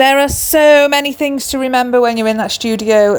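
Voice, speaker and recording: Fairly even in intonation, a woman speaks with an English accent. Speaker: crochet designer and small business owner. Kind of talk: vlog.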